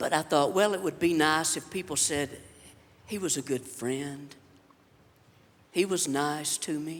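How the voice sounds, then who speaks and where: The speaker has a Southern US accent and ordinary pitch variation. Long pauses come often. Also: man, fairly high pitch for a man, fairly slow pace. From Alabama. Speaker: comedian. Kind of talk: stand-up. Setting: stage with audience.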